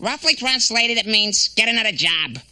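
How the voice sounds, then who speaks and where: A cartoonish character voice, fairly high in pitch, at a fairly quick pace. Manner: wisecracking, needling.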